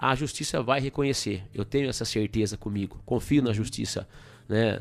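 The speaker has vocal fry and fairly even intonation, talking at a moderate pace in a very clean recording with a silent background. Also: man. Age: 40s. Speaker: state politician. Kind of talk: radio interview. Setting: studio.

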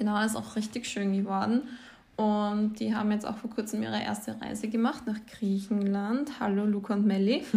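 A woman's fairly high, somewhat breathy voice with a dark, mellow tone, moderate pace, fairly even intonation, and audible room echo. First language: Croatian or Slovenian (speaking German). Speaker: podcast co-host. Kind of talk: casual chat.

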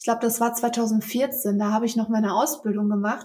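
A woman is speaking. Her voice is high-pitched. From Germany, Velbert (Kreis Mettmann, near Ruhr area). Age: 20s. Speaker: photographer. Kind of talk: casual interview. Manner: frequent fillers (ähm, äh).

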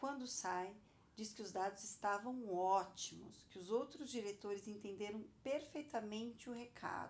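A woman with a plain, everyday voice speaks at a fairly slow pace in a fairly high pitch, with ordinary pitch variation and big swings in loudness. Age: 40s. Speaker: podcast host, entrepreneur. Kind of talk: personal monologue, podcast.

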